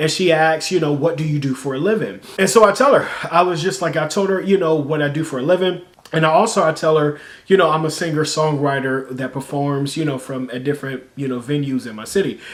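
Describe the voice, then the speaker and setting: Amid noticeable background noise, a fairly high-pitched man speaks very fast with ordinary pitch variation. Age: 30s. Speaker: YouTuber and singer-songwriter. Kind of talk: casual vlog storytelling. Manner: conversational, many fillers.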